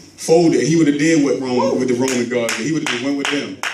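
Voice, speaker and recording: A man speaks at a moderate speed, his pitch rising and falling in an ordinary way, with clear room echo and noticeable noise behind him. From Baltimore, Maryland. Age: 30s. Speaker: motivational speaker. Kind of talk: church speech. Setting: church.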